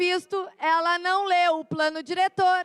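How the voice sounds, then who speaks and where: A woman is talking. Her pace is very slow. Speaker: city councillor. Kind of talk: heated debate. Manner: forceful.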